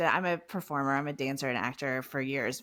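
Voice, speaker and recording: A woman with an American accent speaks in an animated tone at a moderate pace. The recording is very clean, with a silent background. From Texas, Houston. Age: 40s. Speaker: podcast host. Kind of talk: interview.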